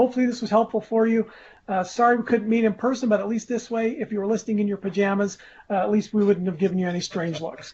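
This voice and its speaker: Talking at a very fast pace, a man uses a high pitch and fairly even intonation. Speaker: tax advisor, managing director. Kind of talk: webinar presentation closing.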